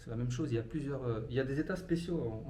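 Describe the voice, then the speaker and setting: Over noticeable background noise and audible room echo, a man talks at a very fast pace in a medium pitch with ordinary pitch variation. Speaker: travel vlogger. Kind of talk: casual vlog talk to camera. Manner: hesitant, many fillers.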